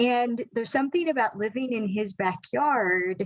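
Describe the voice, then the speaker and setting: With lively intonation, a normal speaking voice moves at a fairly slow pace. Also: woman. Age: 60s. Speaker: relationship educator. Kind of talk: podcast interview.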